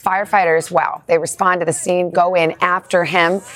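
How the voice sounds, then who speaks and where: A woman with a normal speaking voice. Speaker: morning TV news co-anchor. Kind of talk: news reading.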